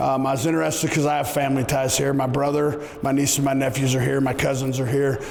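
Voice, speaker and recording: Over noticeable background noise and audible room echo, a man talks at a very fast pace with fairly high pitch and ordinary pitch variation. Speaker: football coach. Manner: loud; animated.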